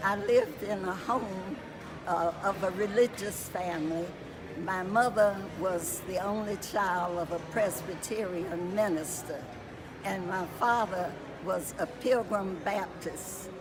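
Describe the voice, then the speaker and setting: With an American accent and a medium pitch, a woman speaks very slowly in fairly even intonation. Noticeable background noise and audible room echo surround her voice. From US South, Roanoke, Virginia. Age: 90s. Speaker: family elder. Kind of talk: interview. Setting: family reunion.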